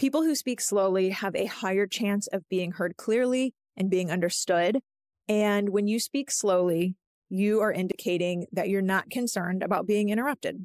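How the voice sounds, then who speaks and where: In an ordinary speaking voice, a woman of medium pitch talks at a moderate pace with ordinary pitch variation and very even loudness, the sound dry and close with no echo. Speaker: podcast host. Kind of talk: solo podcast talk.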